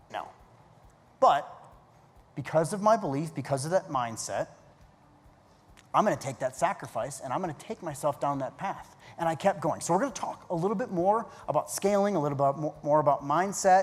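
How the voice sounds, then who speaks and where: At a high pitch and a fairly quick pace, a man speaks with lively intonation and long, frequent pauses. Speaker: keynote speaker, business coach. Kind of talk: keynote talk. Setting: stage with audience. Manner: fast.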